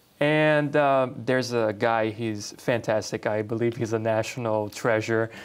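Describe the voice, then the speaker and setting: A man with a Portuguese accent and a medium-pitched voice speaks at a fairly slow pace with hardly any pauses, fairly even intonation and very even loudness against a quiet background. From Brazil. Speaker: talk show host. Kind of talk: casual interview chat.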